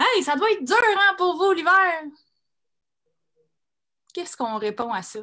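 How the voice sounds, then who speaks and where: Her intonation is lively. The woman talks at a moderate pace. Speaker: comedian. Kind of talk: spoken-word monologue read on stage.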